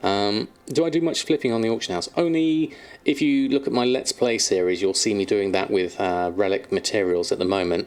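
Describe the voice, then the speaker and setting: With a southern English accent, a man talks at a fairly quick pace in a medium pitch, his intonation lively, his loudness very even and hardly any pauses. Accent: generic southern English. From southern England. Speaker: streamer. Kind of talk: live stream chat. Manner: hesitant with frequent fillers.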